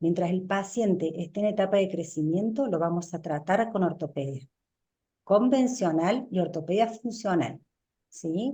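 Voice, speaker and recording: In a quiet background, a woman speaks at a fairly slow pace with a medium pitch, ordinary pitch variation, a somewhat breathy quality and a dark, mellow tone. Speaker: orthodontist lecturer. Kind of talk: lecture. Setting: webinar.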